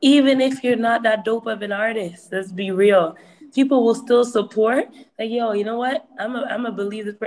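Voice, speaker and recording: A woman talks in a normal speaking voice at a moderate pace. Her pitch is fairly high and her intonation fairly even. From Toronto area, Canada. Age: 20s. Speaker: hip hop artist. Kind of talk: webinar talk. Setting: video call.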